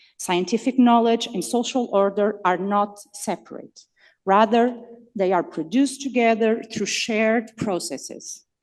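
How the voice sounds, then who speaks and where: A woman with a non-native accent speaks at a fairly high pitch and a fairly slow pace, with ordinary pitch variation. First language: not English. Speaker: conference speaker. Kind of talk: academic talk partly read from text. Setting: conference hall with audience. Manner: hesitant, with fillers.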